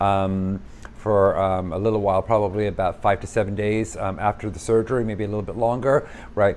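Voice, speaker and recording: Over light background noise, a man talks at a fairly quick pace with a fairly low pitch and fairly even intonation. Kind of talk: casual vlog chat. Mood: candid, earnest. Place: home room.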